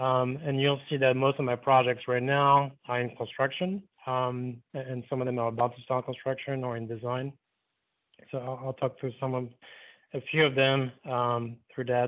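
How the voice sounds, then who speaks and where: Speaking at a moderate pace in a medium pitch, a man with a slight French Caribbean accent keeps a monotone, flat intonation. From Martinique. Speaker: architect. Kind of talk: lecture. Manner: hesitant, many fillers. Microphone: phone audio after reconnecting.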